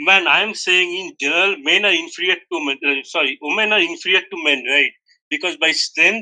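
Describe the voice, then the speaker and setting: A man with a Bangladeshi accent talks at a moderate pace. His pitch is high, with ordinary variation. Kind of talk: heated debate.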